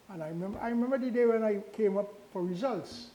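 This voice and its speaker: Amid audible room echo, a man with a high pitch speaks at a fairly quick pace with lively intonation. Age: 80s+. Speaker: retired engineering professor. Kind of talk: invited talk. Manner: halting.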